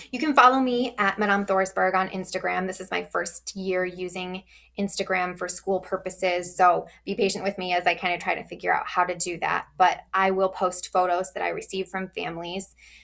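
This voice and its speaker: A woman at medium pitch in a normal speaking voice, moderate pace, fairly even intonation and hardly any pauses. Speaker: teacher. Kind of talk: tutorial.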